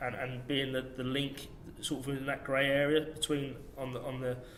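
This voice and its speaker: Noticeable background noise sits behind a man's voice. He has a fairly high pitch and a moderate pace. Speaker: strength and conditioning coach. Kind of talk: podcast interview answer.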